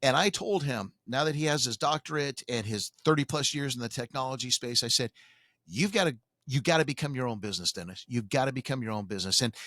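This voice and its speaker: Speaking very fast with lively intonation, a man at medium pitch has a bright, sharp tone, recorded very cleanly with a silent background and a dry, close sound with no echo. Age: 60s. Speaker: radio talk show host. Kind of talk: radio talk show chat.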